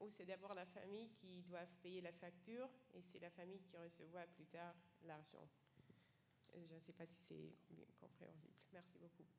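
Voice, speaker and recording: This woman has a non-native accent and a fairly low voice with vocal fry. She talks at a fairly slow pace with fairly even intonation. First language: not French (speaking French). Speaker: seminar participant, homelessness sector worker. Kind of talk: question from the floor at a seminar. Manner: halting, many hesitations.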